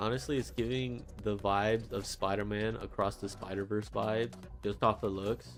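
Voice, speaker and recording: With music in the background, a man mumbles at a moderate pace. His voice is fairly low, and his intonation is lively. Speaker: vtuber artist streamer. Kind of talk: casual livestream chat while drawing. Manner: stuttering, mumbling.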